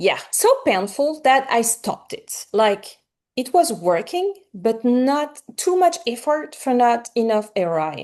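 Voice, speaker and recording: Very wide pitch swings at a fairly slow pace, with a slight French accent. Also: woman, high pitch for a woman. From France. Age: 40s. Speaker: romance author. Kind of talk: interview. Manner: animated.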